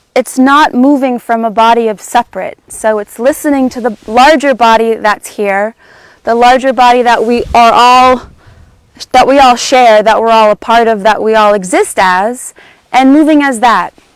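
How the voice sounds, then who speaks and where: Loud and high-pitched, a woman speaks at a moderate pace. Her pitch variation is ordinary. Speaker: movement teacher. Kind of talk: guided movement class. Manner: halting.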